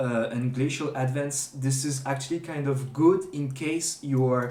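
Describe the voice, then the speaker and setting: Medium-pitched male voice with a non-native accent, fairly even intonation and a moderate pace, in a room with audible echo. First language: not English. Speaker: gaming streamer. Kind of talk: tutorial. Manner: halting, many fillers and restarts; unscripted.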